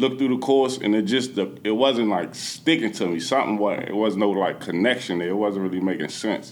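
In an unremarkable speaking voice, a man with an American accent talks at a fairly low pitch with lively intonation and hardly any pauses. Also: fairly quick pace. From Washington, D.C., Southeast. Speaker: real estate investor and meetup organizer. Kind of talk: podcast interview.

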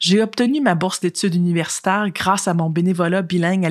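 A woman with a plain, everyday voice speaks fairly quickly at a fairly low pitch with ordinary pitch variation, in a very clean recording with a silent background. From British Columbia, Canada. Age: young. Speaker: youth delegate. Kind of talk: testimony.

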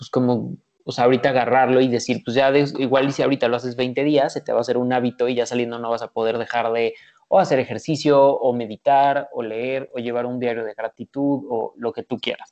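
A man with a Mexican accent speaks at a fairly quick pace and medium pitch in a monotone, flat intonation. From Mexico. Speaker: entrepreneur. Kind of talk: casual chat.

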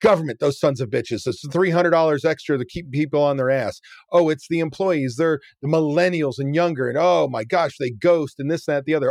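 Here is a man with a normal speaking voice. His pitch is fairly high and his pace fairly quick. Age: 50s. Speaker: restaurant business coach. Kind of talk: interview.

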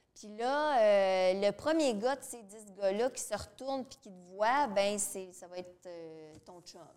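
A woman with a Quebec accent, very slow pace, medium pitch, lively intonation and big swings in loudness. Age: 30s. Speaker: domestic violence counselor and radio co-host. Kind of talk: casual interview. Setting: studio with live audience.

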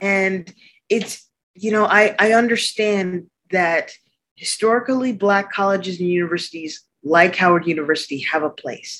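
A plain, everyday voice from a woman, medium in pitch, at a moderate pace with ordinary pitch variation. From Arctic Canada. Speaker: architect and entrepreneur. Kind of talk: interview.

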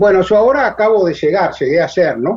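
A man speaks with lively intonation. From Argentina. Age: 70s. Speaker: retired agronomist and long-distance cyclist. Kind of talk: interview. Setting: phone call.

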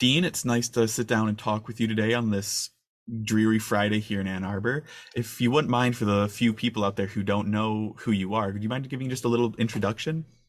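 A man talks fairly quickly in a normal speaking voice with an American accent and fairly even intonation. The recording is very clean, with a silent background. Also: fairly low pitch for a man. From northern Michigan. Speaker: student intern interviewer. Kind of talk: interview. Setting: in-person conversation.

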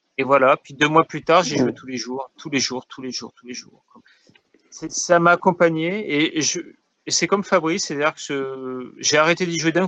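A man uses a plain, everyday voice at a fairly high pitch and a moderate pace, with ordinary pitch variation and big swings in loudness, the sound dry and close with no echo. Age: 40s. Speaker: podcast co-host. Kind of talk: casual chat. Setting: recorded over the internet.

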